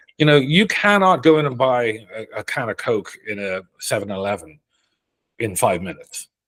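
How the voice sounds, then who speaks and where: A man in a Dublin accent at a moderate pace, medium in pitch, with very wide pitch swings and big swings in loudness. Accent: Dublin Irish. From Ireland, Dublin. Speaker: Irish emigrant interviewee. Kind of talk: casual interview. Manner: conversational, some repetitions and hesitations.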